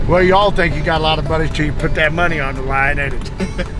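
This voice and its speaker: Music plays in the background as a man with a fairly high voice talks very fast with fairly even intonation, and room echo can be heard. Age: 60s. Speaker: coonhound breeder and hunter. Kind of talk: casual chat.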